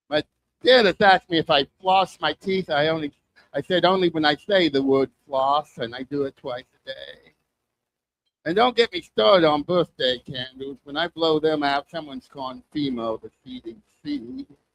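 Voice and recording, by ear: A man's fairly high, fairly bright voice with lively intonation at a moderate pace, dry and close with no echo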